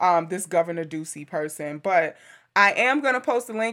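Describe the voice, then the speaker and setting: Loud and bright, a woman's voice comes through with a sharp tone. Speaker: podcast co-host. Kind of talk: casual chat.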